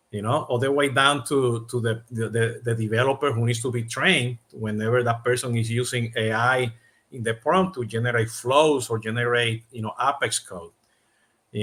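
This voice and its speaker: Speaking at a moderate pace with a Latin American accent, a man has a bright, sharp tone and ordinary pitch variation. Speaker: podcast host, CRM consultant. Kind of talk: interview. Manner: many fillers, halting.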